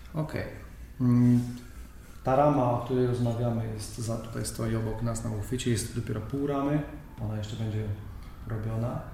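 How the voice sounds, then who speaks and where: Amid noticeable background noise and audible room echo, a man speaks at a fairly quick pace. His pitch is medium and his intonation fairly even. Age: 40s. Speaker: podcast host, cycling journalist. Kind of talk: interview.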